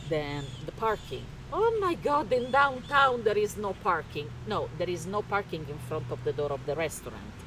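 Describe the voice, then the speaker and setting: A woman with an Italian accent at a moderate pace, fairly low in pitch, with very wide pitch swings and noticeable background noise. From Italy, Rome. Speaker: interior remodeler. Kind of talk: casual interview chat.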